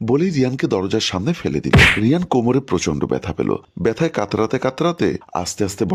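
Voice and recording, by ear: A text is being read aloud in a natural voice.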